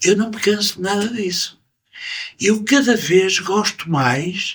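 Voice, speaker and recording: Delivered very slowly, the voice shows ordinary variation in pitch. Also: man. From Portugal, Porto. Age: 70s. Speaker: musician. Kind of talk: interview. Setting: jazz club. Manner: animated.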